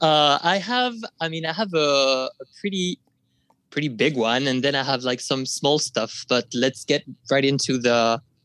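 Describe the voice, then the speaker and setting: A man is speaking at a fairly slow pace. His pitch varies in an ordinary way. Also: fairly high pitch for a man, dry, close sound with no echo. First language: not English. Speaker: podcast listener sharing ghost story. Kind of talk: storytelling. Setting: remote call.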